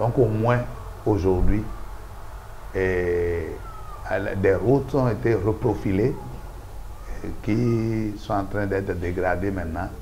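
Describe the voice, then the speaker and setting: Over light background noise, a man with a fairly low pitch and ordinary pitch variation speaks very slowly, with long, frequent pauses. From Benin. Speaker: local elected official; interviewee. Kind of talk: interview. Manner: halting. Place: studio. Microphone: lapel.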